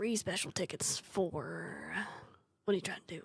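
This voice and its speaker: A woman puts on a raspy character voice at medium pitch. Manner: gangly gnome-like, suspicious.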